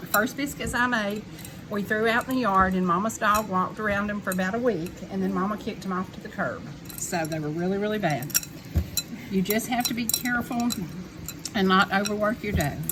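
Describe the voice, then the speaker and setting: A woman with a Southern US accent at medium pitch, fairly quick pace and ordinary pitch variation, amid noticeable background noise. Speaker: home cook teaching her granddaughter. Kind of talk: cooking tutorial. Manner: animated.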